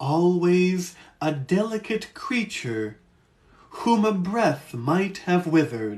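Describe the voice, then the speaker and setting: A put-on character voice at a very slow pace. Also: man, high pitch for a man. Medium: read story.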